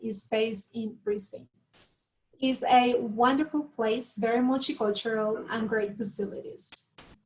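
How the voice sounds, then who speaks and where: Speaking at a moderate pace, a woman with a fairly high pitch talks in a Latin American accent. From Colombia, Bogota. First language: Spanish. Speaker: university recruitment manager. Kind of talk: webinar presentation. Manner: hesitant, many fillers.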